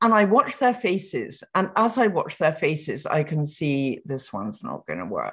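A woman's fairly low voice with vocal fry, very wide pitch swings and big swings in loudness, against a quiet background. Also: moderate pace. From England. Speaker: biographer. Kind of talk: interview.

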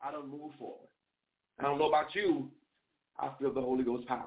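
A woman's extremely low voice with a slightly husky edge, a fairly quick pace and fairly even intonation

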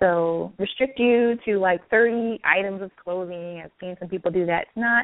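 An ordinary speaking voice, a woman at medium pitch with ordinary pitch variation. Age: 30s. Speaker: life coach. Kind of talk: guided meditation; interview.

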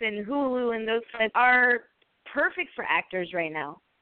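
A woman speaks in a fairly high voice. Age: 20s. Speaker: podcast host. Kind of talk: casual interview chat. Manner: animated.

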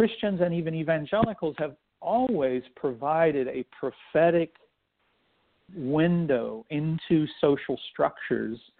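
This man has an unremarkable speaking voice, pitched fairly high. His intonation is lively. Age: 50s. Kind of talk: interview. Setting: radio show.

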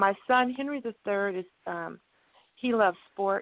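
In a plain, everyday voice, a woman with an American accent talks at a fairly slow pace, her medium pitch showing ordinary pitch variation. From Texas (Cameron). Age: 60s. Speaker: guest family member. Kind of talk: phone interview, family stories. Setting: phone call.

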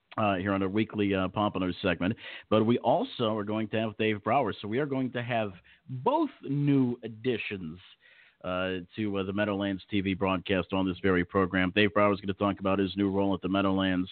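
A man talks at a fairly quick pace in a fairly low pitch. It is a plain, everyday voice with fairly even intonation. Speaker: harness racing radio host. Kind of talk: casual radio show banter.

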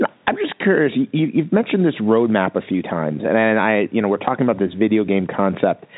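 A man talks at a fairly quick pace with a fairly low pitch. His pitch makes big swings.

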